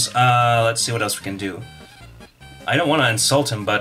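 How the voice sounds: Reading in a natural voice.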